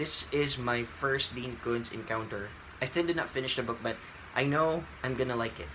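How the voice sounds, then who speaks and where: Over noticeable background noise, a man with a Filipino accent talks in a medium-pitched voice with ordinary pitch variation. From Philippines. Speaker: book vlogger. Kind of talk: casual vlog. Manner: hesitant, with fillers.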